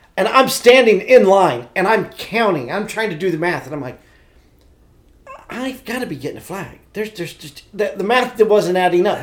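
Over noticeable background noise, a man with a high pitch speaks at a fairly quick pace with lively intonation. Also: big swings in loudness. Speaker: podcast host. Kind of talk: casual chat. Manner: animated.

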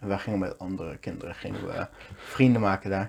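At a fairly quick pace, a man talks in an ordinary speaking voice with fairly even intonation. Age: 20s. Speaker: podcast co-host. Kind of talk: casual chat.

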